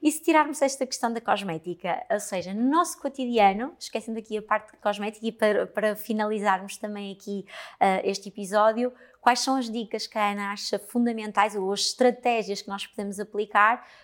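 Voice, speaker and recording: With a normal speaking voice, a woman talks at a fairly quick pace in a fairly high pitch, showing ordinary pitch variation and big swings in loudness. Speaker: podcast host, cosmetics trainer. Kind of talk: interview.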